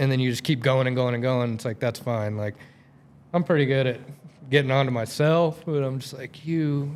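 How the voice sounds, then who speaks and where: A man talks in an ordinary speaking voice, his medium pitch moving with ordinary pitch variation at a moderate pace. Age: 30s. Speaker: golfer. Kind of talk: casual chat.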